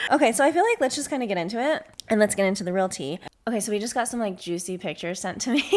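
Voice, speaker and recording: Against noticeable background noise, a woman with an American accent talks very fast at a fairly high pitch, her intonation lively. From Arizona. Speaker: podcast host. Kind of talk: casual chat.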